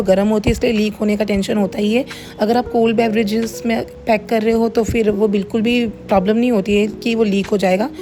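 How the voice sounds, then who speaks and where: There is noticeable background noise as a woman speaks at a moderate pace. Her fairly high voice stays monotone and flat. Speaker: home cook running a cloud kitchen, vlogger. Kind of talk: vlog voice-over narration.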